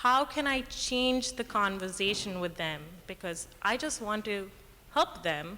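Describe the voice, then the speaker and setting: A woman speaks fairly slowly in a fairly high, shaky voice with a bright, sharp tone. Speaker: audience member, emergency room worker. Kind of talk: audience question at panel Q&A. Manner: quiet, asked to speak up.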